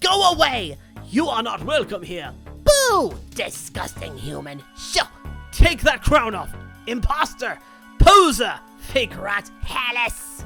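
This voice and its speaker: Over clear music in the background, a shrill, put-on character voice with a fairly high pitch speaks at a fairly slow pace. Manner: screeching, hostile.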